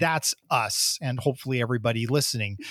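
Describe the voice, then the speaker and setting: A man with an American accent talks at a moderate pace. The recording is very clean and the background silent. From US. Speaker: podcast co-host. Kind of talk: casual chat.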